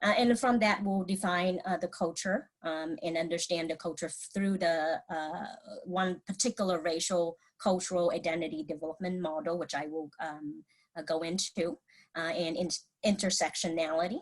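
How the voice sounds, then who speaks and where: With a Vietnamese accent, a woman speaks at a moderate pace and a fairly low pitch with ordinary pitch variation. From Vietnam, moved to US at about twelve. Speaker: mental health clinician. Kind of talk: presentation. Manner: halting, many fillers and restarts.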